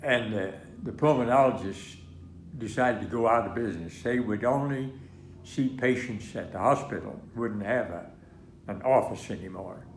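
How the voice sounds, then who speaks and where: There is audible room echo as a man with an American accent speaks at a medium pitch. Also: ordinary pitch variation, moderate pace. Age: 90s. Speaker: war veteran. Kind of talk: interview. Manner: halting.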